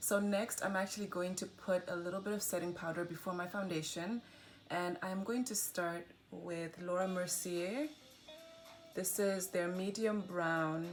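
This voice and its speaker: Against noticeable background noise, a woman speaks at a fairly slow pace in a medium pitch. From Zimbabwe. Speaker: beauty vlogger. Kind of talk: makeup tutorial.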